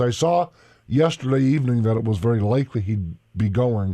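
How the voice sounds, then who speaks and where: A man's voice comes through with a dark, mellow tone. He speaks at a fairly quick pace. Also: quiet background. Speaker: radio talk show host. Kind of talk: talk radio commentary. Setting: studio, streamed on Facebook.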